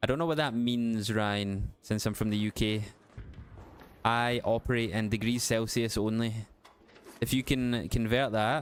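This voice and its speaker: A man with a Glasgow accent talks at a fairly slow pace in a medium-pitched voice, with very even loudness, fairly even intonation, and long, frequent pauses. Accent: west of Scotland (Glasgow area). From Scotland, west of Glasgow. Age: 30s. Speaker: gaming live streamer. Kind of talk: casual live-stream chat.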